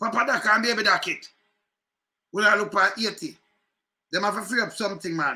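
In a Jamaican accent, a raised, projected voice with a bright, sharp tone moves at a moderate pace with long, frequent pauses. Pitch variation is ordinary, and the background is quiet. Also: man, high pitch for a man. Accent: Jamaican Patois. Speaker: political commentary vlogger; political commentator, live streamer. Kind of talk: casual commentary. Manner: animated. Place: home room. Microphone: webcam.

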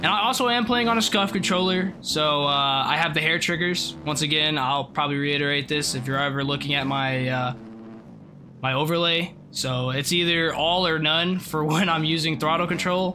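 Over noticeable background noise, a man with a fairly high pitch keeps his loudness very even. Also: ordinary pitch variation, moderate pace. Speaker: gaming streamer. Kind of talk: gameplay commentary. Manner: high-energy, animated. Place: home room.

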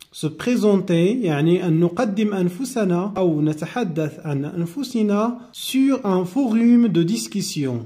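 A man with a high pitch, a dark, mellow tone and lively intonation speaks at a very slow pace with hardly any pauses, and audible room echo surrounds him. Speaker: French teacher. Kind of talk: lecture.

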